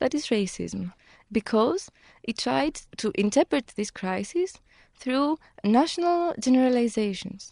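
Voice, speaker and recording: A woman with a Greek accent speaks at a fairly slow pace in a high voice with a dark, mellow tone, making very wide pitch swings and long, frequent pauses, all in a dry, close sound with no echo. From Greece. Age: 20s. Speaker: lawyer. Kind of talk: interview.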